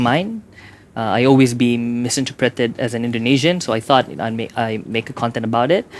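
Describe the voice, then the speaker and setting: A man talks fairly quickly with a Sabahan accent. His voice sits at a medium pitch. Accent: Malaysian (Sabahan) English. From Sabah, Malaysia. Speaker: YouTuber. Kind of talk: casual interview chat.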